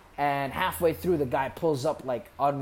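Music plays behind a man speaking with an American accent. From US Midwest (Columbus, Ohio), Somali family. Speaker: poet. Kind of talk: casual chat.

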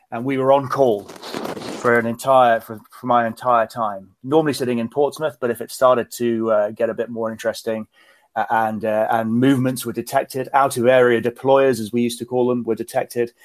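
Delivered in a British accent at a moderate pace with hardly any pauses, the monotone, flat speech is dry and close with no echo on a very clean recording with a silent background. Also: man, medium pitch for a man. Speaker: retired naval officer. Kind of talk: interview.

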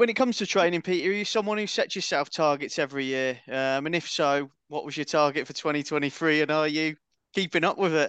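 Against a quiet background, a man with a plain, everyday voice speaks at a fairly quick pace with ordinary pitch variation. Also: fairly high pitch for a man. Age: 40s. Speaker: podcast host. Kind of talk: casual chat.

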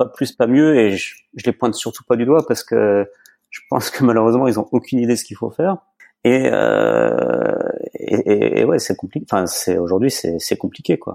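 A man at a fairly quick pace, recorded with a dry, close sound with no echo. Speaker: chef and butcher. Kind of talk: casual interview. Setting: remote recording.

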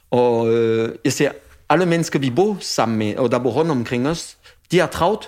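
A man with a French accent at a fairly slow pace, his pitch variation ordinary. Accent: French-accented Danish. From France. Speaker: chef. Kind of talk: casual chat. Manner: halting.

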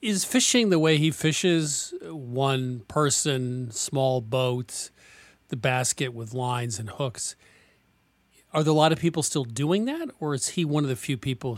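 With an American accent, a man with a normal speaking voice talks at a fairly slow pace in a medium pitch with ordinary pitch variation. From Vermont, US. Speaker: radio host of a cooking show. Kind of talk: interview and call-in chat. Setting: radio studio.

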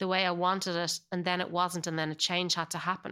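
On a very clean recording with a silent background, a woman speaks at medium pitch in a bright, sharp tone with an American accent. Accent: Irish, slight Californian layering. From Ireland. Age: 40s. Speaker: actor. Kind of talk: casual chat.

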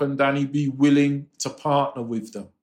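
With a London accent, a man speaks at a fairly high pitch. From England, London. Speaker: music publisher. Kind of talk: interview.

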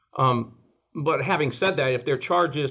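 The man has an unremarkable speaking voice at a medium pitch with ordinary pitch variation. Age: 60s. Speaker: oral surgeon. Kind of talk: interview.

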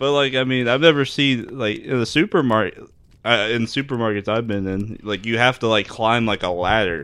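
A man at medium pitch and moderate pace. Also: ordinary pitch variation. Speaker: podcast co-host. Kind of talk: casual chat. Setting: studio. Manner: animated, laughs often.

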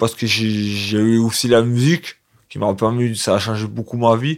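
A man speaks at a medium pitch and moderate pace. His intonation stays monotone and flat. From Provence, southern France. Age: 20s. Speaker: care home resident and amateur singer. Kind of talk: personal testimony. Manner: halting.

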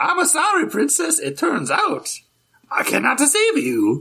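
Using a put-on character voice, a man goes extremely high in pitch. His pace is moderate. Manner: cartoonish, comedic.

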